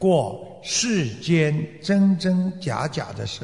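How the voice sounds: Natural reading voice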